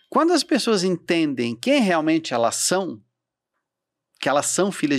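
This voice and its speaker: Against a quiet background, a man's fairly high voice swings very widely in pitch. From Santa Catarina, southern Brazil. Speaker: events entrepreneur and mentor; podcast co-guest or host. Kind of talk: podcast interview. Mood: warm, animated, faith-inspired. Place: studio. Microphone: studio mic.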